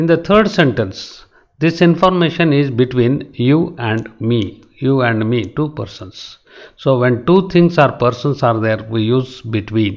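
With a Karnataka accent, a man speaks at medium pitch. His pace is fairly slow and his intonation lively. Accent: Indian English (Kannada). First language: Kannada. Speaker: English grammar tutor. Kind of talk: lecture. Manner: slow, repetitive explanatory.

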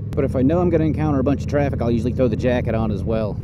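A man talks over loud background noise, the sound dry with no echo. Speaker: motorcycle commuter vlogger. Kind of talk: casual vlog chat. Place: motorbike.

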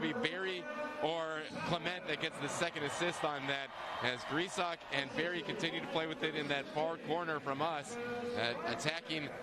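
Speech comes at a moderate pace over loud background noise, the sound dry with no echo. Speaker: color analyst. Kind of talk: live commentary.

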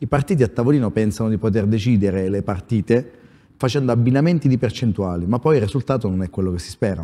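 In a dark, mellow tone, a man at medium pitch speaks at a very fast pace with lively intonation. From Abruzzo. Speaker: newly elected provincial president, small-town mayor; small-town mayor. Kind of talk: political talk show interview. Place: studio. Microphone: lapel.

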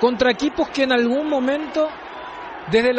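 A man is speaking over noticeable background noise. His pitch variation is ordinary. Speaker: football commentator, analyst. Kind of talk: live football commentary and post-match analysis. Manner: measured, analytical, somber.

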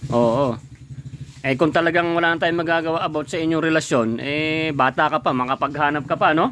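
This is a plain, everyday voice from a man with a fairly high pitch and fairly even intonation. He talks at a fairly quick pace over light background noise. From Philippines. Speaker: vlogger interviewing a guest. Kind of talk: casual chat. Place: garden. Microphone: phone near.

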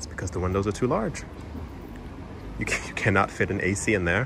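A man's fairly low, lively voice with vocal fry, at a fairly quick pace over clear background noise

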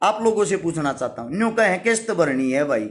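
Someone speaks in a Haryanvi accent at a moderate pace with lively intonation. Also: man. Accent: Haryanvi-accented Hindi. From Haryana, India. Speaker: social worker and YouTuber; YouTuber. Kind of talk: live stream address to followers. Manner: forceful, blunt delivery. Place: home room. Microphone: phone near.

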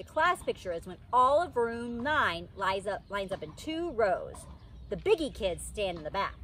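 A woman speaks at a moderate pace in a dry sound with no echo, with light background noise behind her. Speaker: storyteller. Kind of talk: read-aloud storytelling. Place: garden.

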